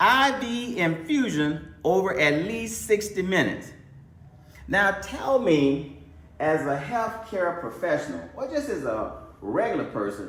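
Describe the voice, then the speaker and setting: With a Mississippi accent, a man speaks at a fairly slow pace and a high pitch, his pitch swinging very widely amid noticeable background noise. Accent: US Southern (Mississippi). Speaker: doctor. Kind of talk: lecture. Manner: repetitive, emphatic.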